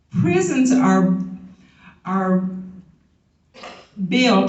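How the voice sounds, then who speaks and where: Audible room echo surrounds a woman talking at a very slow pace in a medium pitch. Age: 70s. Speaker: teacher. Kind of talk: convention speech. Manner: emphatic.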